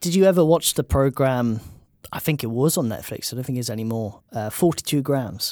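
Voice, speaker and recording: A man talks at a fairly quick pace, his pitch medium for a man. His tone is dark and mellow, with lively intonation. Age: 30s. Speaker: podcast host. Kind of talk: casual chat.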